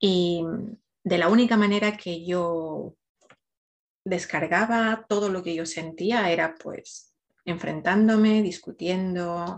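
Speaking at a very slow pace, a woman uses fairly even intonation at a fairly low pitch. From Ecuador. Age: 40s. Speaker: emotional wellbeing coach. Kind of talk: podcast interview, personal story.

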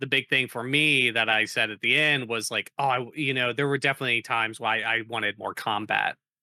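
Using a plain, everyday voice, a man speaks at a medium pitch and moderate pace with fairly even intonation. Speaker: tabletop game player. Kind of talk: casual chat.

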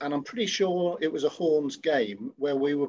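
Using lively intonation in an East Midlands accent, a man speaks at a fairly slow pace with a fairly high pitch. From Nottinghamshire, England. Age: 50s. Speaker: rugby club veteran. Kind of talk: casual interview.

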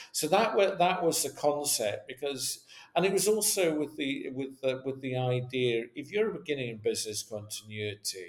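Over noticeable background noise, a man with a Scottish accent talks at a moderate pace with hardly any pauses, his fairly high voice swinging very widely in pitch. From west coast of Scotland. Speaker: business continuity consultant. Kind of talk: interview.

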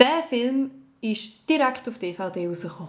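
In a Swiss accent, a woman speaks very slowly at a fairly high pitch, her pitch swinging very widely. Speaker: podcast co-host, actress. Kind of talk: casual game-show chat.

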